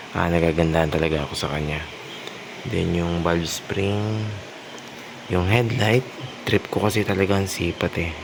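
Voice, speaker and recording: Noticeable background noise sits behind a man with a very deep, low voice. He shows ordinary pitch variation and takes long, frequent pauses. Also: moderate pace. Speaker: motorcycle vlogger. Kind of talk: product showcase vlog. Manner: soft-spoken.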